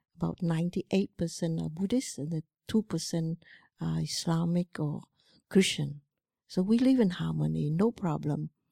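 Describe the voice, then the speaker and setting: Recorded very cleanly against a silent background, a woman with a Cambodian accent speaks at a moderate pace in a dry, close sound with no echo. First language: Khmer. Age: 70s. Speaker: Buddhist monastic teacher. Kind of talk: dharma talk. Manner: halting.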